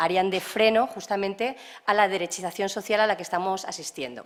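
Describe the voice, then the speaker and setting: A woman's voice at a medium pitch. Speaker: lecturer. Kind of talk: lecture. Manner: fast.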